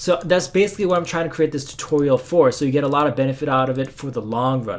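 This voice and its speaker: Amid noticeable background noise, a man rattles off his words at a very fast pace. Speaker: programming tutor. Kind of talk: tutorial. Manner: halting.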